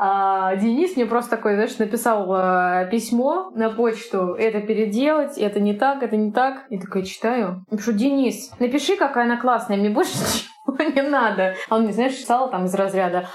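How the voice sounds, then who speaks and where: Over noticeable background noise, a woman with a fairly high pitch talks at a moderate pace with lively intonation. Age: 30s. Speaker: pastry chef. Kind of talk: interview. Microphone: sound quality may be poor.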